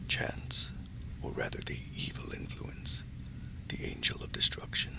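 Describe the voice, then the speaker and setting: Someone is whispering at a moderate pace. Noticeable background noise can be heard. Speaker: audiobook narrator. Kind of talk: sleep story. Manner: soft-spoken, creepy.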